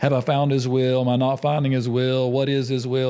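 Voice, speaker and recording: A man speaks at a fairly quick pace and medium pitch in an ordinary speaking voice. The recording is very clean, with a silent background. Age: 50s. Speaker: podcast host and ministry leader. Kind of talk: casual interview chat. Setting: in a home.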